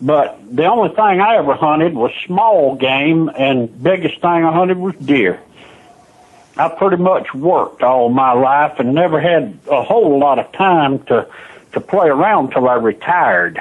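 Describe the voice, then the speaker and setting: A man with a Southern US accent, fairly high pitch and lively intonation. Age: 70s. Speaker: retiree selling signs. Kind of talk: phone conversation. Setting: phone call.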